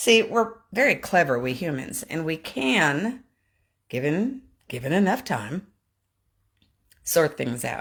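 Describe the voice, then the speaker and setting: On a very clean recording with a silent background, a woman with a very deep, low pitch speaks at a very slow pace, with very wide pitch swings and long, frequent pauses. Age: 60s. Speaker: vlogger. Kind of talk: casual vlog monologue. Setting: on a treadmill.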